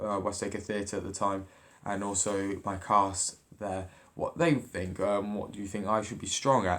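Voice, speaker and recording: A man with a fairly low pitch speaks in an ordinary speaking voice. The recording is very clean, with a silent background. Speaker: drama student. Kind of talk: video journal.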